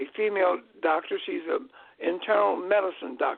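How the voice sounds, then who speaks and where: Fairly slowly, a man talks, his pitch rising and falling in an ordinary way. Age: 80s+. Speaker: guest speaker on health and history. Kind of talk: casual chat. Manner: halting.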